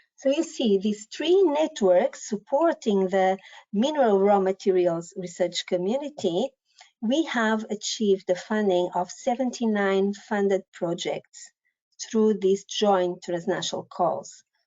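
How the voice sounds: Her tone is dark and mellow, with ordinary pitch variation. The woman speaks at a fairly slow pace. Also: medium pitch for a woman.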